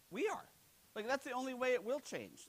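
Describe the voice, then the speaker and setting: The voice has a bright, sharp, animated tone and an American accent. It races along at a very fast pace. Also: man. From United States. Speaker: keynote speaker, HR technology analyst. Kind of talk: conference keynote presentation. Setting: stage with audience. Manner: animated, humorous, interactive. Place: hall.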